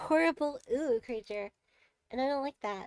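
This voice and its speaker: A plain, everyday voice from a woman, moderate in pace with ordinary pitch variation and a dry, close sound with no echo. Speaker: vtuber streamer. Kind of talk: casual chat. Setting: live stream.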